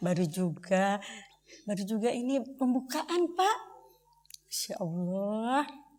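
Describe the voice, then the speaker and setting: At a very slow pace with long, frequent pauses, a woman speaks at a fairly high pitch, her voice swinging very widely in pitch. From Indonesia, Bandung (West Java). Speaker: theatre performer. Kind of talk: documentary theatre performance. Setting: stage with audience.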